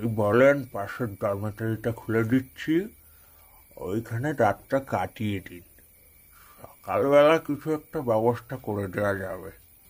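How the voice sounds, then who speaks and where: A man's put-on character voice, gruff and medium-pitched, at a fairly slow pace with big swings in loudness. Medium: cartoon. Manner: gruff, curt.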